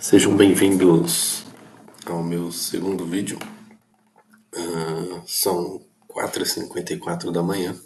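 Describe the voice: A hoarse, put-on character voice moves at a fairly slow pace with long, frequent pauses. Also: man, very deep, low pitch for a man.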